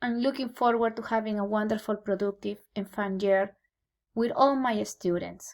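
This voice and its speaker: A woman with a Peruvian accent speaks at a moderate pace and a fairly high pitch, with fairly even intonation. The recording is very clean, with a silent background. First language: Spanish. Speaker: Spanish teacher. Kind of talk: scripted presentation to parents. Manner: formal.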